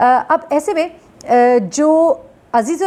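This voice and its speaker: A woman with a dark, mellow tone. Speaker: news journalist, YouTube commentator. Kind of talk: news commentary. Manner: conversational, frequent hesitations.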